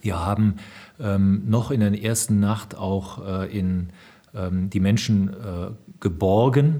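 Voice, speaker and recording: Speaking very slowly, a man leaves long, frequent pauses. His voice is fairly low in pitch with a dark, mellow tone. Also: ordinary pitch variation. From Rhineland, western Germany. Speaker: senior military officer. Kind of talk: interview. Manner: formal.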